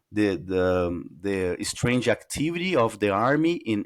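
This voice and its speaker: Fairly slow and with lively intonation, a man with a Portuguese accent comes through on a very clean recording with a silent background. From Brazil. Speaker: UFO researcher. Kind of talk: interview. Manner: halting, searching for words.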